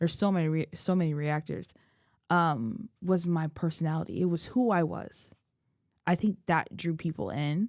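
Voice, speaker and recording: The recording is very clean, with a silent background. A woman speaks at a fairly low pitch and moderate pace, with very even loudness and ordinary pitch variation. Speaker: K-pop reaction youtuber. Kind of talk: emotional personal vlog. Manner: casual, rambling.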